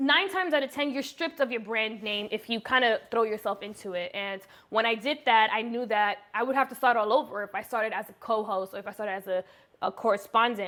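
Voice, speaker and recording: Very fast and animated, a woman speaks at a fairly high pitch. Her tone is bright and sharp. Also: ordinary pitch variation. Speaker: YouTuber, beauty vlogger. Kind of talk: casual chat, story time.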